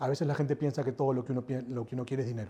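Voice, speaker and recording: A man speaks at a medium pitch. His tone is dark and mellow, and somewhat breathy. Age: 40s. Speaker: airport company executive. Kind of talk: interview.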